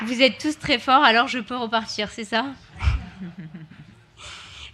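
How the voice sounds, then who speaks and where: This woman has a high-pitched voice. Her intonation stays fairly even. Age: 20s. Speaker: youth council member. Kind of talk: public speech.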